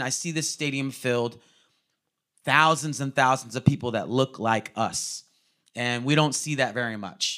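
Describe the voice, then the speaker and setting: A man with an American accent has a fairly high pitch and a bright, sharp tone. He keeps a moderate pace with ordinary pitch variation. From California. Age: 30s. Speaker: guest preacher. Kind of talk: sermon. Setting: church service with congregation.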